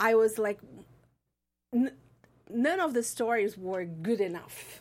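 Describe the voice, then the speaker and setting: On a very clean recording with a silent background, a woman speaks at a fairly high pitch with a Portuguese accent. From Brazil. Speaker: film school alumni coordinator and filmmaker. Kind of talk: interview. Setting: studio.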